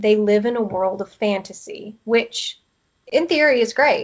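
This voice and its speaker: A woman with a Southern US accent speaks at a fairly slow pace, her pitch fairly high. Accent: Southern American twang. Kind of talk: podcast interview answer.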